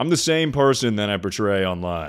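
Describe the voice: On a very clean recording with a silent background, a booming man speaks at a moderate pace with ordinary pitch variation.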